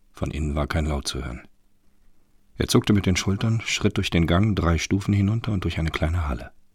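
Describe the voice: On a very clean recording with a silent background, a man with a low pitch and a slightly husky edge talks fairly quickly with lively intonation.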